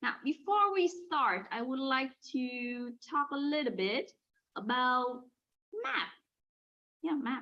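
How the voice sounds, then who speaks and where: A woman with a northern Vietnamese accent speaks at a high pitch. Her pace is very slow, with long, frequent pauses. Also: lively intonation. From Hanoi, northern Vietnam. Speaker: language teacher. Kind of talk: lesson. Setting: video call.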